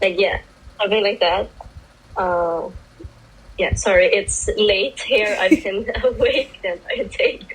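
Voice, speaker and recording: A fairly slow pace with long, frequent pauses, in a non-native accent. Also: woman. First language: not English. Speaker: sex worker. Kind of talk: casual panel discussion. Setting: video call. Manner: halting.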